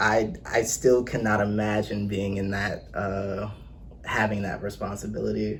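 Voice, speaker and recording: A man's fairly low voice with audible room echo. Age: 20s. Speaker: accountant and personal trainer. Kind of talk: casual chat.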